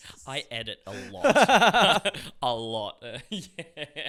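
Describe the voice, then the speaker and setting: Long, frequent pauses break up a man's speech in an Australian accent. His fairly high, bright, sharp voice swings very widely in pitch. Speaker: actor and filmmaker, former carpenter. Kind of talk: casual interview chat. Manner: halting, many repeated words.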